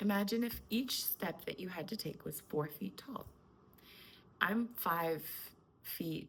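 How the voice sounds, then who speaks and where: A woman's calm tone with vocal fry and lively intonation, at a fairly slow pace broken by long, frequent pauses. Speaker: spiritual coach. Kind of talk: spiritual talk to camera.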